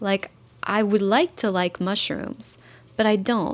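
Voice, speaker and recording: Fairly high in pitch, a woman's unremarkable speaking voice moves at a fairly slow pace with fairly even intonation. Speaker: vlogger. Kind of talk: casual vlog talk to camera. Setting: home kitchen.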